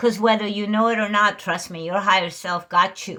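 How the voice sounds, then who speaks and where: A woman speaks at a fairly quick pace in a raised, projected voice with an animated tone. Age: 60s. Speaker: spiritual channeler / energy reader. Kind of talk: casual spiritual talk to viewers.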